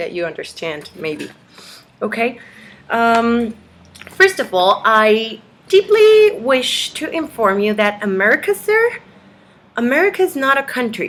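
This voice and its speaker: A woman with a high pitch talks at a fairly slow pace with very wide pitch swings, over noticeable background noise. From Mexico. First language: Spanish. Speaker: video blogger. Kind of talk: reading aloud. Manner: halting.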